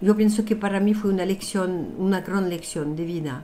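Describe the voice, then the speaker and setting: Her voice sits at medium pitch for a woman. She speaks with a French accent. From France. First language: French (speaking Spanish). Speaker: numerologist and author. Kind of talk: interview.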